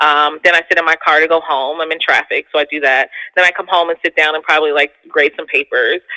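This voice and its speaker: With an American accent, a woman speaks very fast in a very deep, low voice, her intonation monotone and flat. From US Northeast, Philadelphia. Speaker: therapist and podcaster. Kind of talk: casual interview chat.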